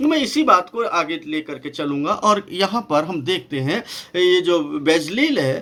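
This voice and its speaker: Speaking with a non-native accent, a man lets his pitch swing very widely. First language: not Hindi (speaking Hindi). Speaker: pastor and Bible numerology teacher. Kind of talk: Bible study lecture. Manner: halting, with many fillers.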